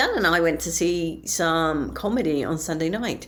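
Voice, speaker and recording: Her pitch fairly low, a woman talks at a moderate pace with vocal fry. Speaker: aspiring comedian, diary podcaster. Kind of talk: casual spoken diary.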